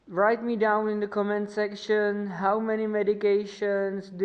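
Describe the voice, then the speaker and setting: A woman is speaking. She has a non-native accent. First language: not English. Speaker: motorcycle mechanic vlogger. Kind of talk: tutorial. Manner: halting.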